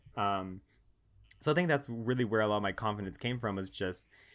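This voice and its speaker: In a very clean recording with a silent background, a man speaks at a fairly quick pace with fairly even intonation. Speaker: guest. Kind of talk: casual interview chat.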